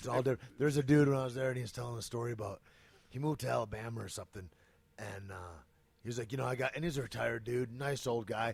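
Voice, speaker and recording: A very fast, somewhat breathy voice with an American accent. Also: man, medium pitch for a man. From Michigan. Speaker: podcast guest in film business. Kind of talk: casual chat. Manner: animated.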